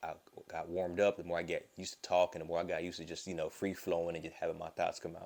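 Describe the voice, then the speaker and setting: In a Southern US accent, a man speaks with a very deep, low pitch. His intonation is monotone and flat. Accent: Southern US, fast quick talk. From Florida, US South. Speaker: vlogger. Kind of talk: casual vlog monologue. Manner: mumbles or stumbles over words.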